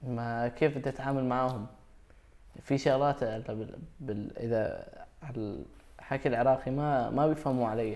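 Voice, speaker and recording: A man's dark, mellow voice at a medium pitch, fairly slow in pace, with fairly even intonation. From Iraq. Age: 20s. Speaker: young refugee. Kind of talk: interview.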